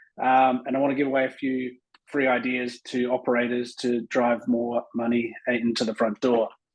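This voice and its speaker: Speaking with an Australian accent, a man uses a medium pitch and monotone, flat intonation at a moderate pace. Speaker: tourism consultant, agency co-founder. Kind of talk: conference presentation.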